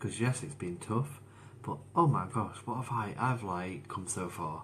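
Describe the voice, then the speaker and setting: In a room with audible echo, a man talks at a fairly low pitch with lively intonation. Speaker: motivational speaker sharing his mental health story. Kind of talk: live stream monologue. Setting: Facebook live stream. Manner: slow, deliberate.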